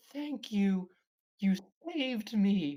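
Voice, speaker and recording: A squeaky, put-on character voice that sounds female sits at a medium pitch. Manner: grateful.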